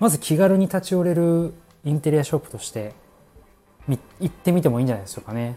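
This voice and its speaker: Music plays behind a man who talks very fast in a high voice, his pitch swinging very widely, his loudness jumping sharply, with long, frequent pauses. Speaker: office worker podcaster. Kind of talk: casual solo talk. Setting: home kitchen, wrapping dumplings.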